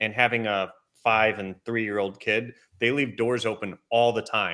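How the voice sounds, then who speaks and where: Speaking at a moderate pace, a man with a plain, everyday voice keeps a medium pitch and fairly even intonation. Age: 30s. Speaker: manufacturing industry executive. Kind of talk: interview.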